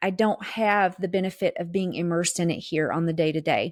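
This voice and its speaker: In a very clean recording with a silent background and a dry, close sound with no echo, a woman with a Southern US accent speaks at a moderate pace, medium pitch and fairly even intonation. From US South. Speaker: podcast co-host. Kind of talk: casual chat.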